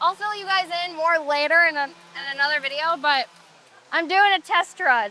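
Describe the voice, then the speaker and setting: A woman with an extremely high pitch uses a raised, projected voice at a moderate pace with ordinary pitch variation, over noticeable background noise. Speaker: chainsaw carver and vlogger. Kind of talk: casual vlog talk to camera. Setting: outdoors at carving event.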